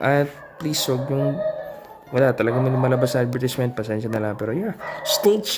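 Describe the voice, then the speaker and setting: Noticeable background noise sits behind a man's voice. He talks at a fairly quick pace with a medium pitch and ordinary pitch variation. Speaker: vlogger reacting to film announcements. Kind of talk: casual reaction commentary.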